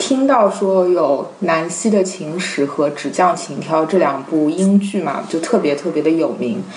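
Her voice fairly low, a woman speaks at a fairly slow pace with lively intonation, amid noticeable background noise and audible room echo. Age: young. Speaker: literary translator. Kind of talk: casual chat.

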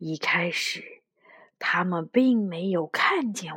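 At a very slow pace, a woman growls in a put-on character voice. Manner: low growling.

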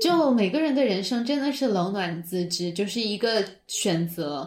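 Somewhat breathy, a woman talks at a medium pitch with very wide swings up and down. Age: middle-aged. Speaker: personal growth coach and content creator. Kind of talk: casual interview.

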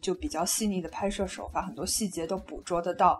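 A woman's medium-pitched voice shows ordinary pitch variation, with noticeable background noise behind it. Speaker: management consultant, podcast guest. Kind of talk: casual chat about films. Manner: mixes English words into Mandarin.

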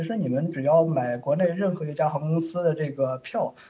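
There is noticeable background noise behind this man. He speaks with a fairly high pitch. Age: 30s. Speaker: software tester. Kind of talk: casual interview.

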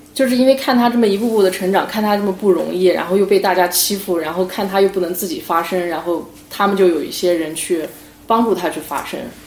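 Over noticeable background noise, a woman speaks at a very fast pace, with a medium pitch and ordinary pitch variation. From Beijing, China. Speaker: podcast co-host. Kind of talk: casual chat. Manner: loud.

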